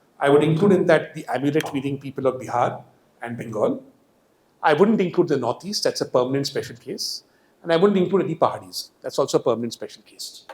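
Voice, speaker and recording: A man with a Marathi accent talks at a very fast pace in a fairly high pitch, with lively intonation and big swings in loudness. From India, Hyderabad. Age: 50s. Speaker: economist. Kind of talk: public lecture. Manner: animated.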